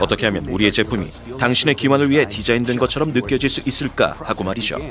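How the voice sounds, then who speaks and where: A man at a medium pitch and a very fast pace, with music in the background. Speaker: voice actor. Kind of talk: TV commercial read.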